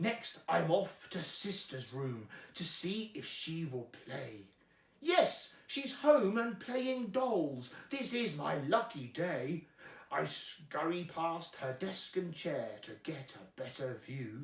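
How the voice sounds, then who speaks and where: Putting on a character voice, a man drags out his words at a very slow pace, his high pitch swinging very widely. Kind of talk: rhyming bedtime story. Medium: read story. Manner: cheeky, rhyming, playful.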